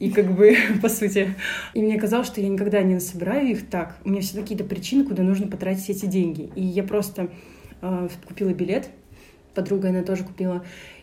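Audible room echo carries a woman's medium-pitched voice at a very fast pace. She uses fairly even intonation and takes long, frequent pauses. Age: 20s. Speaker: creative producer and photographer. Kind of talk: casual chat.

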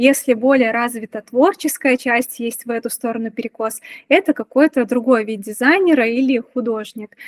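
At a moderate pace and with ordinary pitch variation, the voice comes through dry and close with no echo. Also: woman, high pitch for a woman. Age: 30s. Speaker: UX/UI designer. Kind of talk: casual chat.

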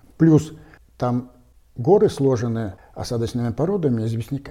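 A very clean recording with a silent background captures a man's somewhat breathy, dark and mellow voice at a medium pitch. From Russia, the Urals (Kizel coal basin). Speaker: geologist and stone carver. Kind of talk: casual interview.

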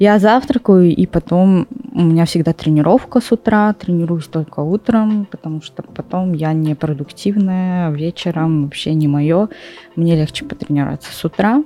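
A woman speaks at a moderate pace in a fairly low voice with ordinary pitch variation and big swings in loudness. The sound is dry and close with no echo, with noticeable background noise. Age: 20s. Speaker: fitness competitor. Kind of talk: casual chat.

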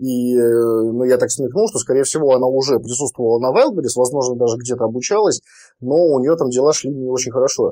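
A man speaks at a fairly quick pace in a medium pitch, with a dark, mellow tone and ordinary pitch variation. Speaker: online seller and trainer. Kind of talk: interview.

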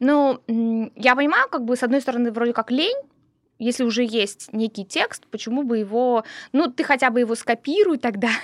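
At a moderate pace and high pitch, a woman speaks in a very clean recording with a silent background and a dry, close sound with no echo. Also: ordinary pitch variation. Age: 40s. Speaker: podcast co-host. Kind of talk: casual chat.

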